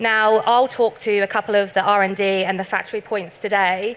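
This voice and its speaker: A woman with a British accent speaks at a medium pitch, keeping her intonation fairly even. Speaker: tech company sales specialist. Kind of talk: conference presentation. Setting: stage with audience.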